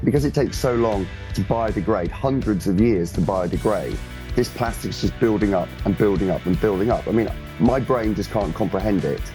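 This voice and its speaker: Music plays behind a man with a fairly low voice. He talks at a fairly quick pace with lively intonation. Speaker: science presenter; ocean scientist. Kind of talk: live TV news interview answer.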